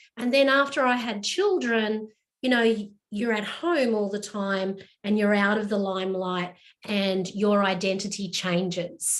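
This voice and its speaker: In a normal speaking voice, a woman talks at a medium pitch and a fairly slow pace with ordinary pitch variation. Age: 50s. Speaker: small business coach. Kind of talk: casual chat.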